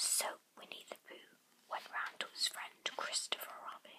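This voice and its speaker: Whispering at a fairly slow pace. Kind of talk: bedtime story reading. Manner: whispered, soft-spoken. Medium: read story.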